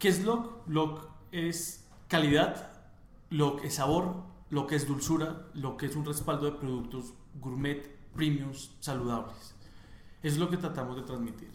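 A man with a fairly high voice speaks at a fairly slow pace, leaving long, frequent pauses, with ordinary pitch variation. Audible room echo and noticeable background noise fill the recording. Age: 20s. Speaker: entrepreneur, chocolate company co-founder. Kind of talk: interview.

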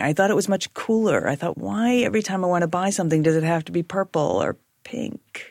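A woman speaks at a medium pitch with lively intonation. She has an unremarkable speaking voice. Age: 50s. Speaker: former store owner. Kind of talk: casual conversation.

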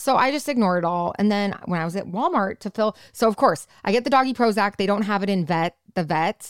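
A woman with an ordinary speaking voice talks at a fairly quick pace, her pitch medium and her intonation lively. The sound is dry and close with no echo. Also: hardly any pauses, very clean recording, silent background. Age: 30s. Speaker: podcast co-host. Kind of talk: casual chat.

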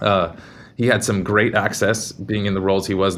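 The man has an unremarkable speaking voice, pitched fairly low. He moves at a fairly quick pace with fairly even intonation. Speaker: company CTO. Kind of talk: casual interview.

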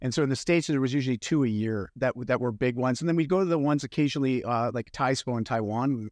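In an ordinary speaking voice, a man talks at a fairly quick pace with medium pitch and lively intonation. The sound is dry and close with no echo, on a very clean recording with a silent background. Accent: Canadian. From Canada. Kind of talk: casual interview.

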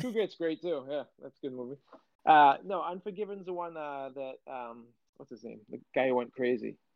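A man with an unremarkable speaking voice talks at a moderate pace and a fairly high pitch, his intonation lively and his loudness swinging widely. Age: 30s. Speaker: podcast co-host. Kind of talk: casual chat.

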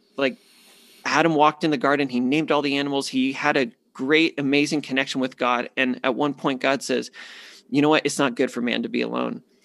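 The speaker has an American accent and a normal speaking voice with fairly even intonation. The recording is very clean, with a silent background. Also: man, fairly high pitch for a man. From US Southwest (Phoenix, Arizona). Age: 30s. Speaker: men's ministry leader. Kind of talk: interview.

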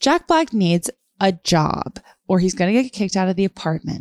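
A woman speaks in a plain, everyday voice. Her pitch is medium, with ordinary pitch variation. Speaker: comedian and writer. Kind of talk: casual chat.

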